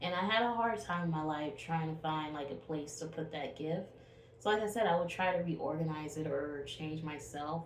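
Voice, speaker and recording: The speech comes at a moderate pace. Noticeable background noise and audible room echo are present. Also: woman. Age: 20s. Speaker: spiritual vlogger. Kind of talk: casual monologue vlog. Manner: animated.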